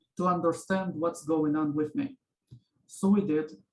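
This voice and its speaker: Speaking at a fairly slow pace with a Russian accent, a man uses a high pitch and ordinary pitch variation. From Israel, born in Ukraine. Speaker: interviewee. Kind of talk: interview. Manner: halting.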